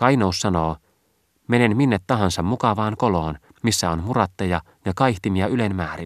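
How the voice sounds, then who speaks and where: Recorded very cleanly with a silent background and a dry, close sound with no echo, a man with a fairly low pitch speaks fairly slowly in a dramatic tone with lively intonation. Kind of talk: audiobook reading, literary narration. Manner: dramatic, urgent, building in intensity on the trumpet cries; formal, measured, archaic-literary delivery.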